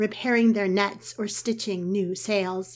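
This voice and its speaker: Here is a woman with an unremarkable speaking voice and a medium pitch. She talks at a fairly slow pace with fairly even intonation. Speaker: podcast storyteller. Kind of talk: mythic first-person storytelling narration, scripted fairy-tale tone. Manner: slow, lyrical, measured.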